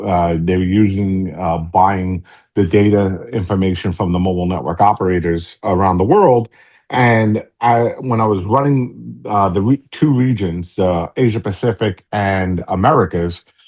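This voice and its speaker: Over a quiet background, a man with a very deep, low voice talks at a moderate pace in a New York accent. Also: ordinary pitch variation. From New York City. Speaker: tech company CEO. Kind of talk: podcast interview. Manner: casual, halting.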